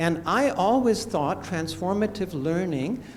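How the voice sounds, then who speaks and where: Audible room echo surrounds a man whose high pitch carries lively intonation at a fairly slow pace. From India. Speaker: anthropologist and teacher. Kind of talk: conference talk. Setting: conference room.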